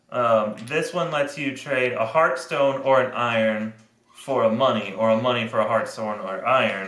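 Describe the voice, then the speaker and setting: In a room with audible echo, a man talks at a moderate pace and medium pitch. His pitch varies in an ordinary way. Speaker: board game reviewer. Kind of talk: game rules explanation.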